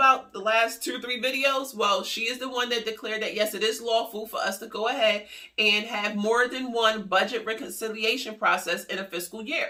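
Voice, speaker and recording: An animated tone at a fairly quick pace, with hardly any pauses. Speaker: YouTuber covering stimulus news. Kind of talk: casual news commentary vlog. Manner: fast.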